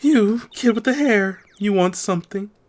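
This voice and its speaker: In a put-on character voice, a woman speaks at a moderate pace with a husky sound and medium pitch. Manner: suspicious, curt.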